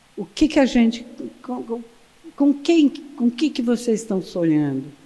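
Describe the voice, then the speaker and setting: A woman talks at a moderate pace with a high pitch and very wide pitch swings. Noticeable background noise runs beneath her voice. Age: 80s+. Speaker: photographer. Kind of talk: lecture. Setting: stage with audience. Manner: animated.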